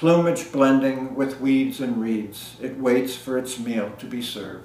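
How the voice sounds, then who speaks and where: Fairly slow speech from a man at medium pitch, fairly even in intonation, over noticeable background noise. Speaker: poet. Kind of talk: poem reading. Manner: measured, lyrical cadence.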